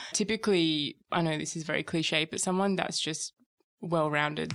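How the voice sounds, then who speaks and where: A woman with an Australian accent speaks fairly quickly at a fairly low pitch with fairly even intonation. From Perth, Western Australia. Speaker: graduate recruiter. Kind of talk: casual chat.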